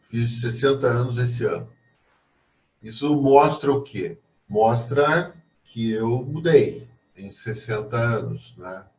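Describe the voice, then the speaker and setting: Very slow, with long, frequent pauses and big swings in loudness, a man speaks in a somewhat breathy, medium-pitched voice with ordinary pitch variation. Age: 60s. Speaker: professor. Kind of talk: lecture.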